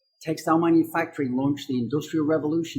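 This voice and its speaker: A man talks at a very fast pace in a dark, mellow tone. His voice is somewhat breathy. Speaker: university dean. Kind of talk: scripted introduction to camera.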